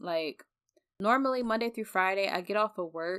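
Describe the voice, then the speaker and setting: On a very clean recording with a silent background and a dry, close sound with no echo, a woman speaks at a medium pitch with lively intonation. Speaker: podcaster. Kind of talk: casual chat.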